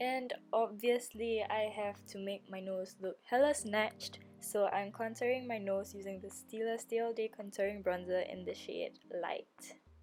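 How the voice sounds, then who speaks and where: Over background music, a woman with a fairly high pitch talks at a fairly slow pace with hardly any pauses, her intonation fairly even and her loudness swinging widely. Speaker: beauty vlogger. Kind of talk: makeup tutorial voiceover. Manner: casual, chatty.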